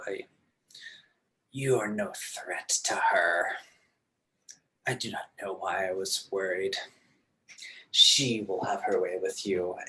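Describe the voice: A man's raspy, hissing put-on character voice at a fairly slow pace, with long, frequent pauses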